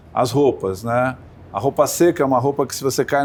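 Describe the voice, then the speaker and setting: In a normal speaking voice, a man moves along at a fairly quick pace. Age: 60s. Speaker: sailor and sports entrepreneur. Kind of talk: interview.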